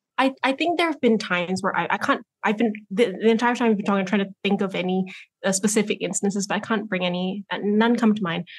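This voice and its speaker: Against a quiet background, a woman with an American accent talks very fast at medium pitch, her voice somewhat breathy. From Malaysia. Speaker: content strategist, former radio producer. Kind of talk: casual panel discussion. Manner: hesitant, many fillers.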